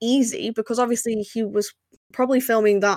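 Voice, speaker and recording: The sound is dry and close with no echo. A woman with a fairly high pitch speaks at a fairly quick pace in a monotone, flat intonation. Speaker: podcast host. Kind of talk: casual chat.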